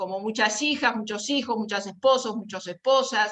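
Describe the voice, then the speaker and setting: A woman's voice with a fairly high pitch. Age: 60s. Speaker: caregiver volunteer. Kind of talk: panel talk. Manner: halting.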